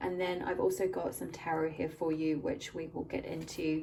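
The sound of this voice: A woman speaks at a moderate pace with a low pitch and vocal fry. Faint background noise is present. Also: slightly mellow tone.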